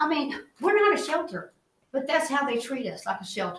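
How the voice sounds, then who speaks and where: A woman speaks with a Southeast Texas accent and very wide pitch swings. The room echo is audible. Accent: Southeast Texas Southern. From Texas, Liberty County. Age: 50s. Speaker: resident speaking at public comment. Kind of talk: public comment at county meeting. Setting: county commissioners court meeting. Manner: emphatic, pleading.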